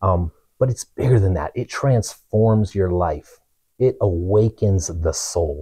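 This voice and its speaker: With an American accent, a man speaks at a fairly low pitch in a dark, mellow, somewhat breathy tone. His pitch variation is ordinary, and the background is quiet. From Truckee, California; California. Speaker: pastor's son sharing testimony. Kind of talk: testimony. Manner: halting. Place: home room. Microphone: lapel.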